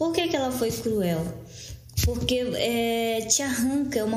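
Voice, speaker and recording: Noticeable background noise and audible room echo fill this recording. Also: woman. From Brazil, Amazonas (Maués, Lower Amazon). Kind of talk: interview. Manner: halting, many repetitions.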